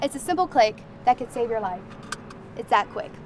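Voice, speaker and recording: Noticeable background noise sits behind a woman's voice. She speaks at a high pitch with lively intonation. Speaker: news reporter and anchor. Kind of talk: TV news field reporting.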